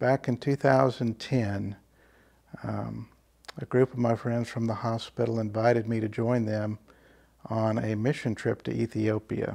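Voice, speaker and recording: A man's dark, mellow voice in monotone, flat intonation, fairly slow with long, frequent pauses. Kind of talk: interview answer. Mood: calm, reflective. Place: home room. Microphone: lapel.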